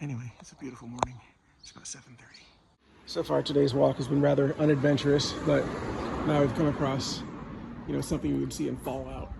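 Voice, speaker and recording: Background noise is noticeable as a man talks at a very fast pace, with long, frequent pauses. His loudness swings widely. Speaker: travel vlogger walking a pilgrimage. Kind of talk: casual vlog narration.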